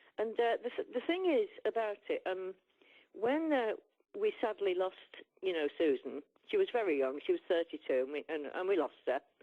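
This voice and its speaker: Here a woman talks with an English accent at a moderate pace. The sound is dry and close, with no echo. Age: 60s. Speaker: musician. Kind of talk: interview. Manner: halting.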